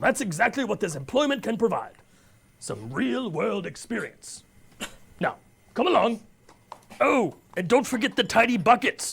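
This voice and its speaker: A man puts on a cartoonish character voice at an extremely high pitch, speaking at a moderate pace with long, frequent pauses. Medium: puppet. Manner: formal, enthusiastic.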